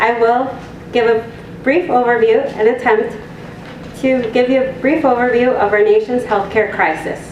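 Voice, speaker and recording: A woman with a high-pitched voice speaks at a moderate pace with fairly even intonation, over noticeable background noise and audible room echo. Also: very even loudness. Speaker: health advocacy hotline coordinator. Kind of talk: public presentation. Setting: community meeting room with audience. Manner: soft-spoken.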